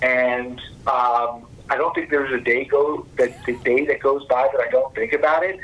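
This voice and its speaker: A man speaks with an American accent at a moderate pace. Noticeable background noise runs under his voice. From Texas, Fort Worth. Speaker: investment conference founder. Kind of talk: business interview.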